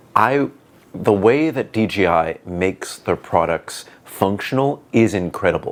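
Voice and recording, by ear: A man with a booming, fairly low voice speaks at a fairly slow pace with lively intonation.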